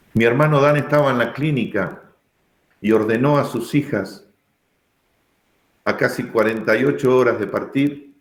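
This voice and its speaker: In a room with audible echo, a man of medium pitch speaks at a fairly slow pace with long, frequent pauses. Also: ordinary pitch variation. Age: 60s. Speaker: pastor. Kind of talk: sermon. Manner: emphatic.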